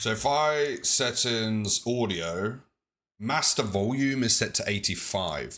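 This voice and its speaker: A man with a medium-pitched voice and a bright, sharp tone speaks at a very slow pace with lively intonation and very even loudness, on a very clean recording with a silent background. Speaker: twitch streamer. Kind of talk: live gameplay stream chat.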